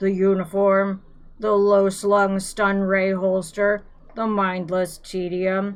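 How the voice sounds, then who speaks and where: A woman's put-on character voice, medium pitch, monotone, flat intonation, very slow pace. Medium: read story. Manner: slow, simple and hesitant.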